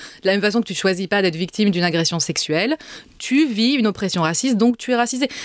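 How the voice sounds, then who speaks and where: Against a silent background in a very clean recording, a woman talks at a moderate pace with ordinary pitch variation. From Paris suburbs, France. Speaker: essayist and author. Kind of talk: interview. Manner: halting, repeats words.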